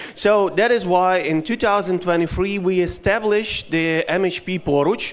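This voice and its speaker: A man with a Ukrainian accent, high-pitched, at a fairly slow pace. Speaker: head of a company foundation. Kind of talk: conference speech. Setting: stage with audience. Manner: halting.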